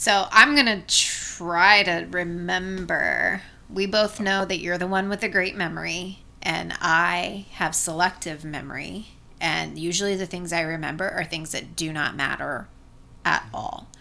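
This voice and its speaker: A woman's bright, sharp voice with an American accent, fairly low in pitch with vocal fry, ordinary pitch variation and a fairly slow pace. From Asheville, North Carolina. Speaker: podcast co-host and teacher. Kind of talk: casual chat.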